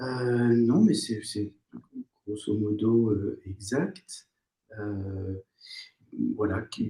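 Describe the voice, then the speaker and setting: A man's dark, mellow, somewhat breathy voice, fairly low in pitch with ordinary variation, at a very slow pace with long, frequent pauses. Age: 60s. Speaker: former surgeon turned psychotherapist. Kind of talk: interview. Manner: hesitant, many fillers.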